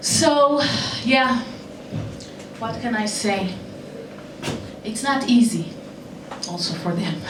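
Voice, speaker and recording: A woman's fairly high voice at a very slow pace, with long, frequent pauses, audible room echo and noticeable background noise. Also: lively intonation. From Israel. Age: 40s. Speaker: comedian. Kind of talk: stand-up. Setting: stage with audience.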